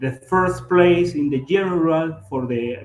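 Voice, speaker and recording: A man with a Latin American accent talks at a fairly slow pace with ordinary pitch variation. Noticeable background noise is present. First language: Spanish. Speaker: triathlon and swimming coach. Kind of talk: lecture. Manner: halting.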